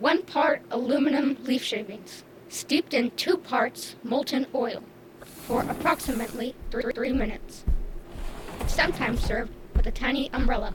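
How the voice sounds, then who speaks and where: Putting on a character voice, a female-sounding speaker uses a fairly high pitch at a moderate pace while clear background noise plays. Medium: audio drama. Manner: halting, stutters on repeated syllables; literal, computer-like phrasing.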